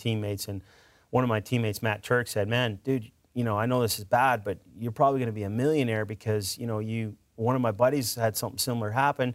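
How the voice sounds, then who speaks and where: An unremarkable speaking voice, a man with a Canadian accent talks at a fairly quick pace in a medium pitch with fairly even intonation, in a very clean recording with a silent background. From Edmonton, Alberta, Canada. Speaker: motivational speaker and former hockey player.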